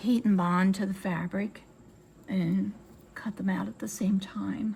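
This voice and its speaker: Against noticeable background noise, a woman with an American accent speaks with fairly even intonation. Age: 70s. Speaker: sewing and crafts YouTuber. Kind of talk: tutorial. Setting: home sewing room with windows open. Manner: casual, chatty with fillers.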